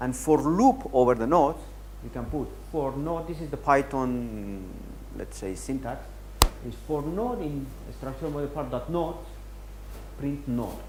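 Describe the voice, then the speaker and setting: Long, frequent pauses amid noticeable background noise and audible room echo. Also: man. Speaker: software workshop instructor. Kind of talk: technical tutorial. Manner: fast.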